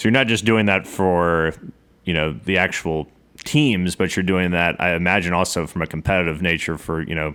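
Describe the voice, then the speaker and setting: This man has a very deep, low pitch and an American accent. He talks at a moderate pace with ordinary pitch variation. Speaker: podcast host. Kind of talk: interview.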